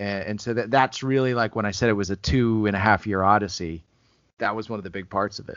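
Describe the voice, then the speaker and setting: A man's fairly low-pitched voice, very fast in pace, with fairly even intonation. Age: 30s. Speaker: film writer and director. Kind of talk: casual interview.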